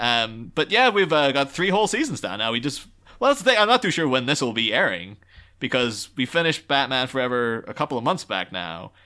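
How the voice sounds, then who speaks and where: Recorded very cleanly against a silent background, a man with a medium pitch and a bright, sharp tone speaks at a fairly quick pace with very wide pitch swings. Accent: Irish. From Ireland. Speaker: podcast guest. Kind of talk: casual chat.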